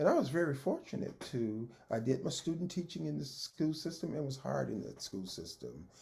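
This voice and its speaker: A man is speaking here. He has a Texan accent. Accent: Texan Southern US. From Texas. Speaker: retired school principal and educator. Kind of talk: oral history interview answer. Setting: video call.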